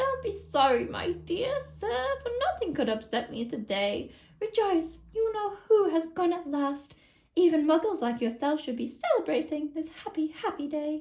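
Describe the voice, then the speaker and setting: A woman puts on a squeaky character voice at an extremely high pitch. Her pitch swings very widely, and her pace is moderate. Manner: joyful, effusive.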